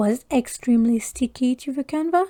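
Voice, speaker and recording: A woman in a French accent, with a dark, mellow tone at a fairly slow pace, in a dry, close sound with no echo. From France. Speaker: crafting YouTuber. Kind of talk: casual chat. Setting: livestream.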